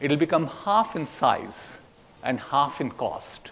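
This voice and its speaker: A man with a fairly high pitch talks at a very slow pace, his intonation lively. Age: 70s. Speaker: technology executive and speaker. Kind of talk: keynote speech to students.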